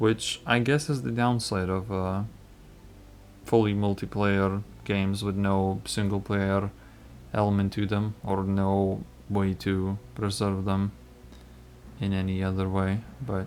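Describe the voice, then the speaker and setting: A man with a non-native accent speaks at a fairly low pitch. Long, frequent pauses break up his speech. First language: not English (non-native speaker). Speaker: gaming YouTuber. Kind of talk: casual gameplay commentary. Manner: hesitant, with fillers.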